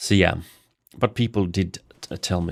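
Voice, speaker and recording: This man has a very deep, low pitch and fairly even intonation. His recording is very clean, with a silent background. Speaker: game streamer. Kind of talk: gameplay livestream. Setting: livestream. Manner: slow.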